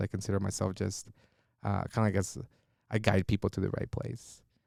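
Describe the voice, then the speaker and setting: The speaker has a Spanish accent. The sound is dry and close with no echo, on a very clean recording with a silent background. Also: man. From Mexico, Monterrey; moved between Mexico and US. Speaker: trauma therapist. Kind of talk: podcast interview. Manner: hesitant, many fillers.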